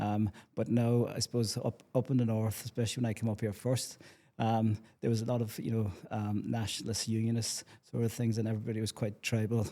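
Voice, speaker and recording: A man's dark, mellow voice at a medium pitch, monotone and flat, at a fairly quick pace in a very clean recording with a silent background. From Ireland, County Cork. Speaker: community development officer. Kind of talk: casual chat. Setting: on location at a community complex.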